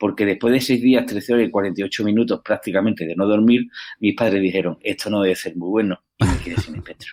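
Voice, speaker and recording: Very fast speech with fairly even intonation, in a dry, close sound with no echo. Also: man, fairly low pitch for a man. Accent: Andalusian. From Andalusia, Seville. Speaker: entrepreneur. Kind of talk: podcast interview. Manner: hesitant fillers.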